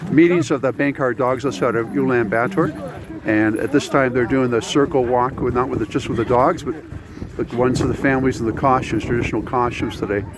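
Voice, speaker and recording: Over noticeable background noise, someone with a Canadian accent talks at a fairly quick pace with ordinary pitch variation. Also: man, medium pitch for a man. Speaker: travel vlogger. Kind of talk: on-location vlog commentary. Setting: outdoors in freezing cold. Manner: mumbling.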